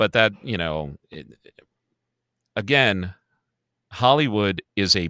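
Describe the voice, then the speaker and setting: A man speaks very slowly with an American accent. His tone is bright and sharp, in a dry, close sound with no echo. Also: very clean recording, silent background. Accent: Chicago accent only when drunk. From Chicago. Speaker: podcast co-host. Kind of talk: casual chat.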